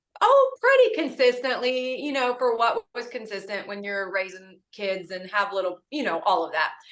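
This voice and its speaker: Speaking in an unremarkable speaking voice at a moderate pace, a woman with a fairly high pitch and ordinary pitch variation leaves hardly any pauses while her loudness swings widely. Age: 40s. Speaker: cosmetics sales director. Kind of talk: testimony.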